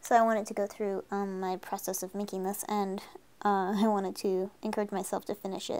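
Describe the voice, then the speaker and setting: The speaker is a woman with monotone, flat intonation. Her pace is fairly quick. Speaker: artist streamer. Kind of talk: casual live stream chat while drawing. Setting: live stream. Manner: casual with frequent fillers.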